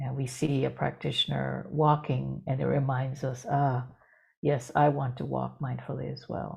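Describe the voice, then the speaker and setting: At a fairly slow pace, this speaker's delivery is soft-spoken. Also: woman. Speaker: dharma teacher. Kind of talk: dharma talk. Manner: halting. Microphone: too quiet.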